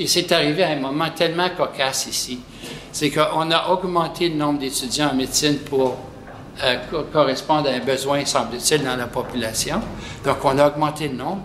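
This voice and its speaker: A fairly high-pitched man at a fairly slow pace, with audible room echo and noticeable background noise. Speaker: pediatric nephrologist. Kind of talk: interview. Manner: soft-spoken.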